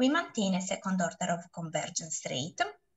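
Over a quiet background, a woman talks at a moderate pace with very wide pitch swings. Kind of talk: lecture. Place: home room. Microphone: webcam.

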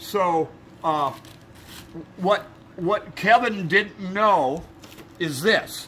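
A man with a high pitch speaks in a raised, projected voice at a very slow pace, with ordinary pitch variation, long, frequent pauses and light background noise. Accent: American. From Oregon, US. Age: 70s. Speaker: poet reading a poem. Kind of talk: reading aloud, with improvised commentary. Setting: indoors in a rooming house. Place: garden. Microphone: camera far.

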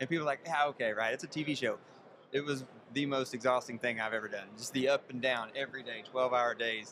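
Over noticeable background noise, a man talks at a very fast pace with fairly even intonation, in a dry sound with no echo. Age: 40s. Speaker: farmer, reality show contestant. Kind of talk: interview. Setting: event in Las Vegas. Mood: relaxed, friendly storytelling. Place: hall. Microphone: studio mic.

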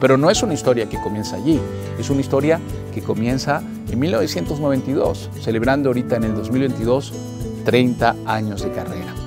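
A man talks at a fairly quick pace with clear music behind him. The recording is dry, with no echo. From Venezuela. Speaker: voice actor. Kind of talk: motivational talk. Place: studio.

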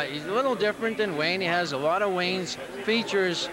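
This man talks at a fairly quick pace with a high pitch. The sound is dry with no echo, though background noise is noticeable. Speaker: proud father of player. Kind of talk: casual interview; interview answer. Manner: halting, emotional. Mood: proud, relaxed. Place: hall. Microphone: handheld.

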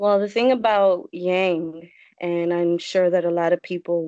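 With an American accent, a woman speaks fairly slowly in a fairly low, monotone, flat voice, recorded dry with no echo against a quiet background. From Connecticut. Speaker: political supporter. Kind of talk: casual interview. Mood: emotional, personal. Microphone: video call.

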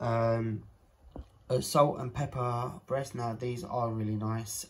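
A man's voice sounds somewhat breathy. Light background noise sits behind it. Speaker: home vlogger. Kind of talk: casual haul vlog chat. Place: kitchen. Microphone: phone near.

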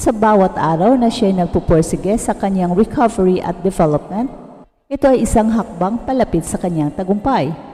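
Lively intonation from a woman at a medium pitch, a normal speaking voice. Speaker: sports news narrator. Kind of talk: scripted narration.

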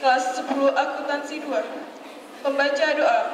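A woman's high-pitched voice at a fairly slow pace, with light background noise and audible room echo. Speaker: ceremony announcer. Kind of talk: formal announcement. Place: street.

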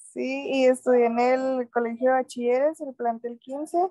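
Against a quiet background with dry sound and no echo, a woman speaks at a very slow pace in a high pitch, her tone dark and mellow and her intonation fairly even. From Camargo, Chihuahua, Mexico; Chihuahua, Mexico. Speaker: student. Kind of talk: class introduction. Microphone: video call.

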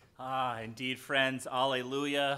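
The tone is bright and sharp. A man talks at a very slow pace. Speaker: pastor leading a service. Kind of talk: liturgy and sermon-style address. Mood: warm, solemn, celebratory. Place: church.

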